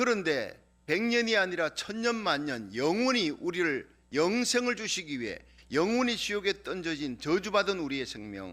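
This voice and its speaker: A man speaks at a fairly slow pace in a high pitch. His tone is bright and sharp, with very wide pitch swings. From Korea, Gyeongsang region. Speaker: pastor. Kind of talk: sermon.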